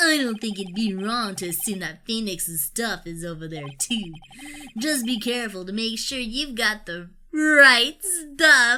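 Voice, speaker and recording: A put-on character voice, female-sounding, fairly high in pitch, raised and projected, at a fairly slow pace. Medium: solo performance. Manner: jokey, laughing.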